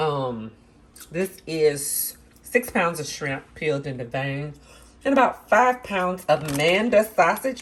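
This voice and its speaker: This woman has a fairly low pitch and an American accent. Her pitch swings very widely as she talks at a fairly slow pace. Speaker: cooking channel host. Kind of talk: cooking tutorial. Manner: casual, conversational.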